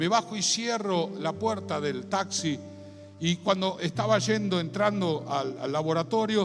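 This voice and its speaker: A high-pitched man with a Rioplatense accent, very wide pitch swings, audible room echo, and music in the background. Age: 60s. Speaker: pastor. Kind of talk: sermon. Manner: animated.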